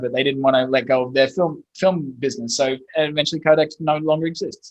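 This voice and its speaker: A man with an Australian accent, fairly high in pitch, very fast, with fairly even intonation. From Australia, Brisbane. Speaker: SEO agency owner. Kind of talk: podcast interview.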